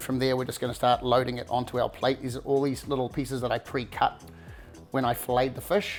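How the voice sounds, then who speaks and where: Faint music plays behind a man of medium pitch who speaks with a New Zealand accent. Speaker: cooking show host; home cook host. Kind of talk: cooking tutorial. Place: kitchen.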